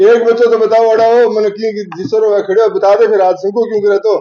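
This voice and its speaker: Against noticeable background noise, a man speaks at a moderate pace and a high pitch. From Rajasthan. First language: Rajasthani (speaking Hindi). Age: 60s. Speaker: language activist and local news reporter. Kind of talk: address to college students. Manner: animated.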